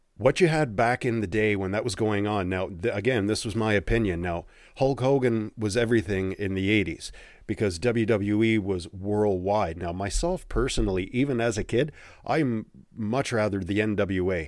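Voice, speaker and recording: In a very clean recording with a silent background, a man with an ordinary speaking voice talks at a moderate pace, his fairly low pitch showing ordinary variation. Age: 40s. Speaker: wrestling podcast host. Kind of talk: solo podcast monologue. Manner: casual, conversational.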